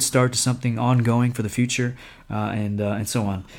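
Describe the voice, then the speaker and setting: On a very clean recording with a silent background, a man with an American accent and a medium pitch speaks at a fairly quick pace in a monotone, flat intonation. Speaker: missionary. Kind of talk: ministry update podcast.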